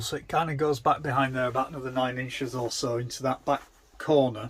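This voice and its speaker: A somewhat breathy man with an English accent and fairly even intonation. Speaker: DIY van converter, video maker. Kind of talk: tutorial. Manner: casual, hesitant fillers.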